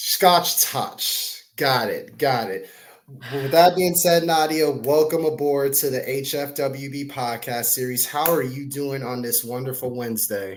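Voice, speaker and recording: A man with a normal speaking voice talks at a fairly slow pace. His pitch is fairly high, with ordinary variation. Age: 30s. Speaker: podcast host. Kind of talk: podcast interview.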